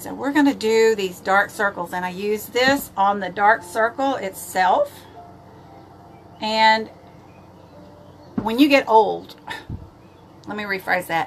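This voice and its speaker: A woman speaks at a very slow pace with long, frequent pauses, her fairly high pitch showing ordinary variation and her loudness swinging widely. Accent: Texan. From East Texas. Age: 70s. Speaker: makeup vlogger. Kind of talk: live makeup tutorial. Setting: livestream. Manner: casual, chatty.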